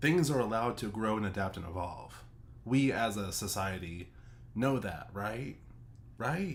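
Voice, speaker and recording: A man speaks at a fairly slow pace with lively intonation and long, frequent pauses. Audible room echo surrounds his voice. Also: fairly low pitch for a man. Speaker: streamer reacting to a video. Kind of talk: reaction commentary. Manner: animated.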